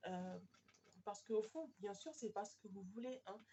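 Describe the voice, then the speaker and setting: A woman at a fairly high pitch and a moderate pace. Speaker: tarot card reader. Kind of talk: tarot reading video. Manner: hesitant, many fillers.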